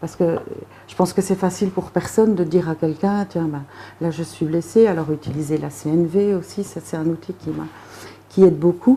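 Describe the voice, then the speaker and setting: A fairly low-pitched woman at a moderate pace, with fairly even intonation. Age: 40s. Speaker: recovering alcoholic. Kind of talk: interview answer.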